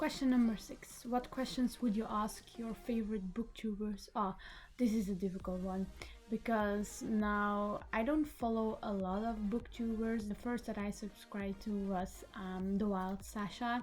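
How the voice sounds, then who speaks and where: A woman speaks at a fairly slow pace in a somewhat breathy, fairly high voice with fairly even intonation. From Belgium, Flemish-speaking part. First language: Dutch (Flemish). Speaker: book vlogger. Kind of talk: casual vlog talk. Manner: hesitant, with fillers.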